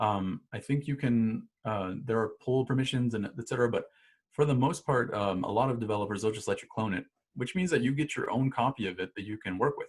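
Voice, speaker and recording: A man of medium pitch speaks at a fairly quick pace with ordinary pitch variation, his voice somewhat breathy. The recording is very clean, with a silent background. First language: not English. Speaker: instructor. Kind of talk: tutorial. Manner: casual, many fillers and restarts.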